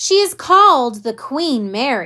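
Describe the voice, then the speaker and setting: A woman speaks in a put-on character voice, high-pitched and swinging very widely in pitch at a fairly slow pace. The recording is very clean, with a silent background. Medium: read story. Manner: hearty, jovial.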